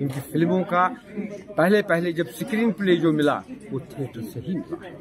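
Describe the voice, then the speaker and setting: A man speaks at a fairly slow pace. Crowd noise sounds in the background. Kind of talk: interview answer. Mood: earnest, passionate about theatre. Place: hall. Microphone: handheld.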